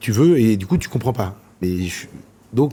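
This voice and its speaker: A man talking at a moderate pace. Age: 40s. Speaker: chef and restaurant owner. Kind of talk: interview answer.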